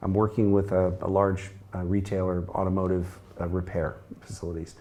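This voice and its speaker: With an American accent, a man speaks in a very deep, low voice with a dark, mellow tone. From US Midwest, Chicago. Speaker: sales coach and consultant. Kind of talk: interview conversation.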